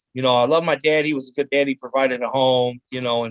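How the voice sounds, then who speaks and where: Monotone, flat intonation in a Cleveland accent. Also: man. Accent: Inland North American (Cleveland). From US Midwest, Cleveland, Ohio (west side). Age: 40s. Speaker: chef. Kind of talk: interview testimony. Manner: halting, many fillers.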